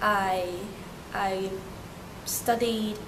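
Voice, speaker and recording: A woman with a Turkish accent, medium pitch and monotone, flat delivery, amid noticeable background noise and audible room echo. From Hong Kong, Turkish family. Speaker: interviewee. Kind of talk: interview. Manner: halting.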